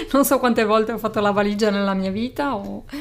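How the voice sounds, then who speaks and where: A woman talks with a fairly high pitch and ordinary pitch variation. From Sardinia. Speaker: psychologist and podcast host. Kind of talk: casual chat.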